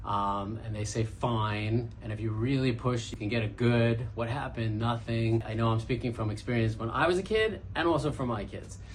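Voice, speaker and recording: A man with a Brooklyn accent talks at a moderate pace in a medium pitch. Audible room echo surrounds his voice. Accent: Brooklyn New York. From Brooklyn, New York. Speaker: podcast host, entrepreneur. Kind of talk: casual monologue.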